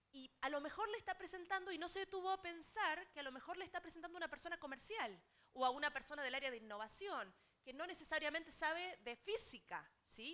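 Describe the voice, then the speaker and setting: A woman with an Argentine accent speaks very fast in a raised, projected voice, extremely high in pitch with lively intonation. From Argentina. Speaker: technology transfer specialist. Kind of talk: seminar talk. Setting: auditorium with audience.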